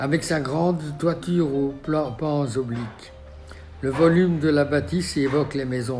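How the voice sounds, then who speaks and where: Music plays in the background as a man speaks fairly slowly in a fairly high voice with ordinary pitch variation. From Belgium. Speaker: architect. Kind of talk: documentary memoir narration. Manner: passionate.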